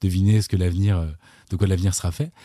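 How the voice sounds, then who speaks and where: A man with a very deep, low pitch and a dark, mellow tone speaks fairly quickly, somewhat breathy and with fairly even intonation, in a very clean recording with a silent background. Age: 40s. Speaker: YouTuber, musician and screenwriter. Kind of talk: casual chat. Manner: hesitant, many fillers and repetitions.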